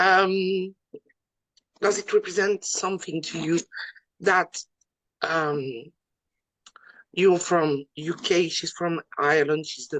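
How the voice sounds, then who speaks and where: Very slowly, a woman speaks at a fairly low pitch with ordinary pitch variation, the sound dry and close with no echo. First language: French. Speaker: wrestling interviewer. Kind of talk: interview. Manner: halting, many fillers.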